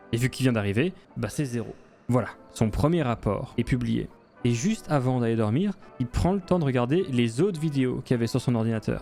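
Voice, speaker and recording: A man speaks at a moderate pace with a medium pitch and lively intonation while music plays in the background. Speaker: gaming video narrator. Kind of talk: game story narration with commentary. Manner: casual, joking.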